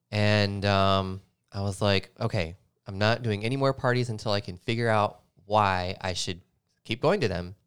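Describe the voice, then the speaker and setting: In an American accent, a man speaks at a moderate pace with fairly low pitch and fairly even intonation, an unremarkable speaking voice on a very clean recording with a silent background. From US South, Nashville, Tennessee. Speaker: DJ. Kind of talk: casual interview chat.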